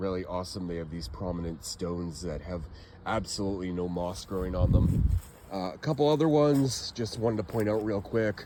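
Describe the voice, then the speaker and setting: Lively intonation marks this speaker's American accent. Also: man, very deep, low pitch for a man, fairly quick pace. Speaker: genealogy and cemetery vlogger. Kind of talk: casual walking vlog. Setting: outdoors in a cemetery.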